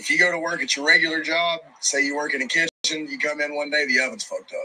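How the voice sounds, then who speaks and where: A man with a strong Southern accent, high in pitch and very fast in pace. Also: ordinary pitch variation. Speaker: rock band musician. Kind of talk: casual interview. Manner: casual, profane.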